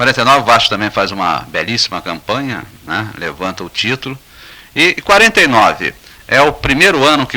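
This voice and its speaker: His pitch ranges very widely. The man's delivery is fairly quick. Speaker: sports journalist, radio host. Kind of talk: radio interview questions.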